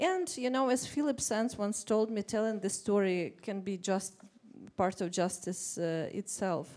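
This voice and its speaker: A woman talks at a fairly slow pace with a Russian accent. Her pitch is medium, with ordinary variation. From Ukraine. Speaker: writer on a panel. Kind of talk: panel discussion. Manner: halting.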